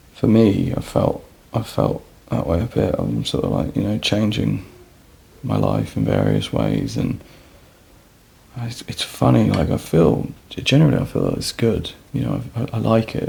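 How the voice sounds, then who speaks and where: A soft-spoken man with a very deep, low pitch talks in a calm tone, his pitch swinging very widely. He leaves long, frequent pauses over noticeable background noise. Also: moderate pace. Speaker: ASMR vlogger. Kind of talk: casual chat.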